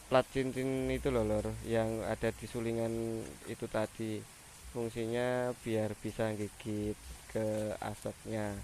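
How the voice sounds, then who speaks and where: A man talks at a very slow pace. His pitch is medium, with fairly even intonation. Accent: Javanese. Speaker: motorcycle mechanic vlogger. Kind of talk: tutorial. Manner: casual, halting.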